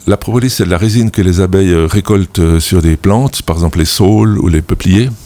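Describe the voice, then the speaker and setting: A man's very deep, dark and mellow voice at a fairly quick pace, hardly pausing, with ordinary pitch variation and very even loudness. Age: 60s. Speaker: beekeeper. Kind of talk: radio interview. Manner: halting, many repetitions.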